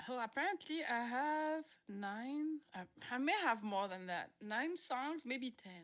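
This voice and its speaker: Speaking at a very slow pace in a French accent, a woman uses a high pitch with very wide pitch swings. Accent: gentle French lilt. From France. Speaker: musician. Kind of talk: interview. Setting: live streamed online interview.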